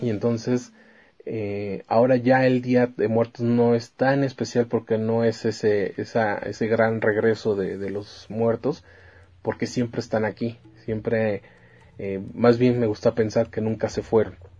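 Music plays in the background as a man speaks. His delivery is fairly slow, with monotone, flat intonation. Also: medium pitch for a man. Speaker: music podcast host. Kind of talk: solo music show presenting. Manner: hesitant, many filler sounds.

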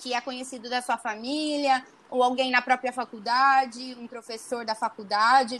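A woman talks at a moderate pace. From Brazil, interior of São Paulo state (Araçatuba). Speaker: medical student. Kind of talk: casual interview.

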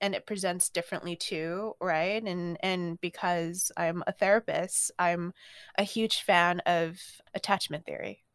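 Recorded very cleanly against a silent background, a woman speaks at medium pitch with fairly even intonation in a dry, close sound with no echo. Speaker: podcast guest. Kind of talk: personal testimony interview. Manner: hesitant, some repetitions.

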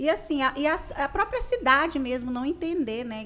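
A woman with a high pitch and lively intonation speaks against noticeable background noise. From Conceição do Araguaia, Pará, Brazil. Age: 30s. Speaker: radio host and digital influencer. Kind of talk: casual chat.

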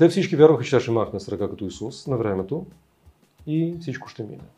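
Speaking at a very fast pace, a man with a dark, mellow tone sounds somewhat breathy and uses very wide pitch swings. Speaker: spiritual teacher. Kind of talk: interview.

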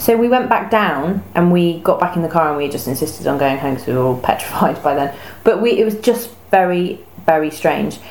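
Over noticeable background noise, a woman with an English accent speaks fairly quickly at a fairly low pitch, her intonation lively. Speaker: podcast co-host. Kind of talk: casual chat.

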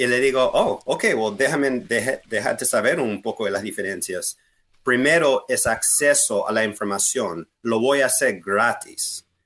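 The background is quiet while a man speaks fairly slowly. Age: 40s. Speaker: political candidate. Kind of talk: interview.

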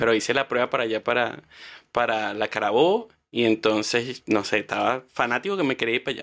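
On a very clean recording with a silent background, a man with a Venezuelan accent talks at a medium pitch and a moderate pace. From Venezuela, Guárico (llanos). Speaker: travel content creator. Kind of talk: casual interview chat.

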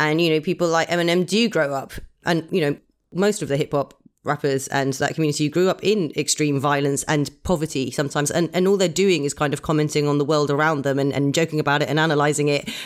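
Speaking very fast with an English accent, a woman uses a very deep, low voice and very even loudness. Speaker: burlesque performer and host. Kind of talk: casual chat. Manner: animated.

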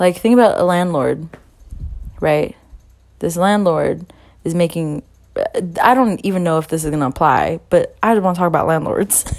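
A woman speaks at a moderate pace with a fairly low pitch and ordinary pitch variation. She takes long, frequent pauses. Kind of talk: angry rant. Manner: emphatic, hammering repetition ('You are working. You are working.').

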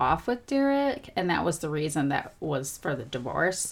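Here a woman talks at a moderate pace with a fairly low pitch. She has an ordinary speaking voice. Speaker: podcast co-host. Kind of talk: casual chat, reading from prepared notes.

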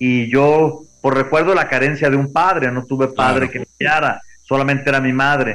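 This man has an unremarkable speaking voice, fairly high in pitch, delivered at a moderate pace with fairly even intonation. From Mexico, Guadalajara. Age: 60s. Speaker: former racing driver. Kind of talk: interview.

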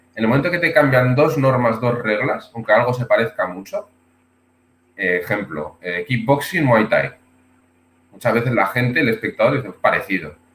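This is a man with a normal speaking voice at a medium pitch. His intonation is lively. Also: moderate pace. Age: 30s. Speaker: martial arts instructor. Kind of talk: casual interview.

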